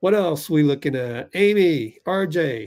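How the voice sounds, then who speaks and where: A man with lively intonation. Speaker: sports livestream host. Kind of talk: live sports commentary and chat. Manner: loud; animated.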